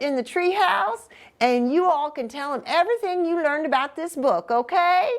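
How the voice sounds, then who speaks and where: Here a woman speaks in a high voice with a Southern US accent. Her intonation is lively. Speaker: pastor. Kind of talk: reading aloud.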